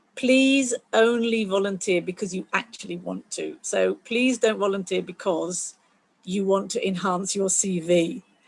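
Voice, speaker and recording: Speaking at a fairly slow pace, a woman uses an unremarkable speaking voice with medium pitch and ordinary pitch variation. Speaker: STEM volunteer coordinator at a planetarium. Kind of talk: online community call presentation.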